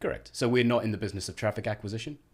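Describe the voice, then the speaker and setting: Recorded very cleanly against a silent background, a man talks with a slight South African accent. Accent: South African, slight twang. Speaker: head of marketing at a tech company. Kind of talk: podcast interview.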